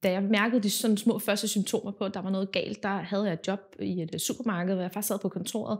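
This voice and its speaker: Against a quiet background, a woman speaks very fast. Her intonation is monotone and flat. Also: hardly any pauses. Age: 20s. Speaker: patient. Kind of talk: testimony. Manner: halting, many filler words. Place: home room.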